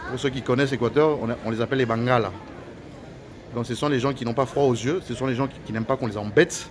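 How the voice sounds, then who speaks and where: This man talks at a very fast pace. His pitch is medium with ordinary variation. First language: Lingala (speaking French). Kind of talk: angry video rant. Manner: halting, many repetitions.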